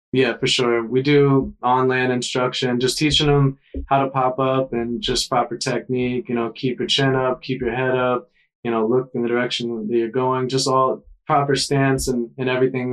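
Flat, monotone delivery with an American accent and hardly any pauses. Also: man. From US South, South Carolina coast. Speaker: surf instructor. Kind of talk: casual chat.

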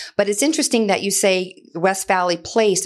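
A woman with an American accent, fairly quick and animated in tone, with ordinary pitch variation and a quiet background. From Louisiana, US South. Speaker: healthcare marketing executive, former sportscaster. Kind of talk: podcast interview. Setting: studio.

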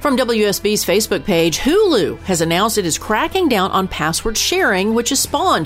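A woman talks at a fairly quick pace with very wide pitch swings, music playing in the background. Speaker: podcast news anchor. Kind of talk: news reading. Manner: formal, steady, even newscaster delivery.

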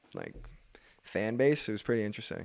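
A man's ordinary speaking voice at a medium pitch, with a fairly quick pace, fairly even intonation and a very clean recording, silent background. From Nova Scotia, Canada. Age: 20s. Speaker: professional basketball player. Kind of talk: casual chat. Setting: studio.

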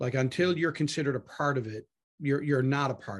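Over a quiet background, a man speaks at a fairly high pitch with ordinary pitch variation. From Canada, Newfoundland (Harbour Grace). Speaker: pastor. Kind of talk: casual interview. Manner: animated.

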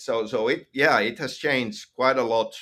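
This man talks with a Finnish accent. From Finland. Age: 50s. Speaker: video game writer. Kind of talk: interview. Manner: halting.

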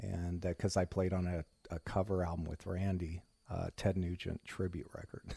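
A man with an American accent speaks at a moderate pace in a very deep, low, somewhat breathy voice with monotone, flat intonation, recorded dry and close with no echo. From US Midwest, Indiana. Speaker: rock guitarist. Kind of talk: interview.

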